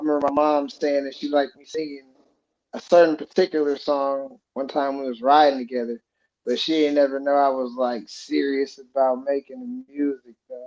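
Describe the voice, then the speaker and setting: A fairly high-pitched man at a fairly quick pace, with monotone, flat intonation and big swings in loudness. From southern Indiana. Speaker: musician. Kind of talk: casual interview.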